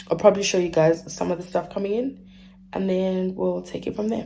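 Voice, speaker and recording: Medium pitch from a woman at a moderate pace, fairly even intonation, and noticeable background noise. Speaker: lifestyle vlogger. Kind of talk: casual vlog talk to camera.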